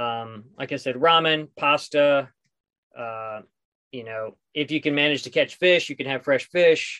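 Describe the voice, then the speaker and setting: With an American accent, a man speaks at a fairly high pitch in a bright, sharp tone, his loudness swinging widely and his pitch varying in an ordinary way, in a dry, close sound with no echo over a quiet background. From US Southwest, southeastern New Mexico. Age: 40s. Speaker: solo sailor. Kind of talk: casual interview.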